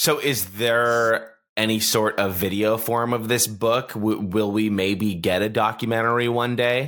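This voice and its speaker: In a plain, everyday voice, a man speaks at medium pitch and a fairly slow pace, with fairly even intonation and very even loudness. The recording is very clean with a silent background. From Toronto, Canada. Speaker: podcast host. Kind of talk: casual interview.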